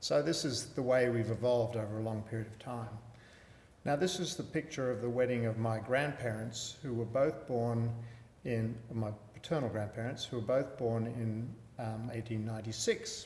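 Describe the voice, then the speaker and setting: In a room with audible echo, a man with an Australian accent talks at a moderate pace and medium pitch with fairly even intonation. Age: 60s. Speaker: palliative care physician. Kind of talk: lecture.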